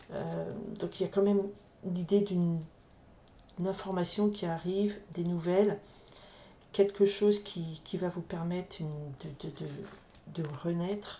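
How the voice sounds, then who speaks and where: A soft-spoken woman's dark, mellow voice at medium pitch, with monotone, flat intonation, a fairly slow pace and long, frequent pauses. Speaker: tarot card reader. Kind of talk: tarot reading. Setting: others nearby, keeps voice down. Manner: halting, many repetitions. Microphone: camera mic, sound too quiet.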